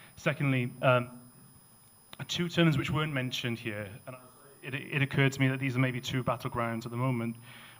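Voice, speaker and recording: Someone with a Welsh accent speaks at a fairly quick pace yet leaves long, frequent pauses. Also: man, medium pitch for a man, fairly even intonation. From Wales. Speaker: audience member. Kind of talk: audience question. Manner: halting.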